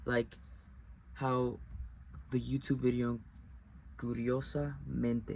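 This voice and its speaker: A man with a Spanish accent speaks at a very slow pace, leaving long, frequent pauses. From US, Mexican-American household. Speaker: video essayist. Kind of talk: personal explanatory monologue. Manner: halting, with self-corrections.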